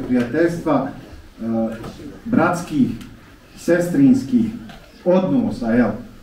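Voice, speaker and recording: A man at a fairly slow pace with very wide pitch swings, light background noise and audible room echo. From Bosnia. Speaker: imam. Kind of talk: formal speech. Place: church.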